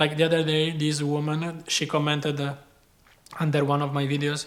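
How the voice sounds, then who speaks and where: Speaking at a moderate pace, this talker has a non-native accent. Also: man. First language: not English. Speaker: chef and video creator. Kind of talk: personal advice talk. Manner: casual.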